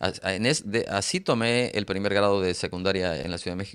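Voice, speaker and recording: On a very clean recording with a silent background, a man talks at a moderate pace. His pitch is fairly low. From Mexico, Oaxaca. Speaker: author. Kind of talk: interview. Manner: halting, many repeated syllables.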